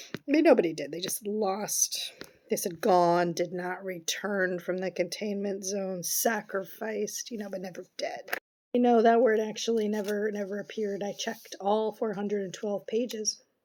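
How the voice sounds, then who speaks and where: Using a raspy, put-on character voice, a woman speaks at medium pitch and a moderate pace with ordinary pitch variation. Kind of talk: dramatic reading of podcast monologue. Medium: solo performance. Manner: rambling, sarcastic, hesitant fillers.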